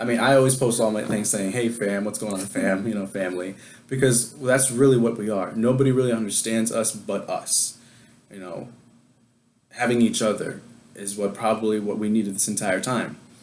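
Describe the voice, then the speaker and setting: With an American accent and fairly even intonation, a man talks at a fairly quick pace and a medium pitch, with audible room echo. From New York. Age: 20s. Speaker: adoptee sharing his story. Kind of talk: casual interview chat. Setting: video call.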